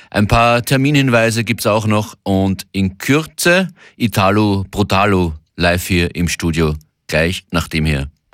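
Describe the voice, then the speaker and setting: The delivery is upbeat and energetic, with lively intonation and a fairly slow pace. Loudness stays very even in a very clean recording with a silent background. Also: man, fairly low pitch for a man. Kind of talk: radio DJ patter, bilingual German-English show intro and track announcements. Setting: radio studio. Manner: upbeat, energetic, brisk weekend-opener delivery switching between German and English.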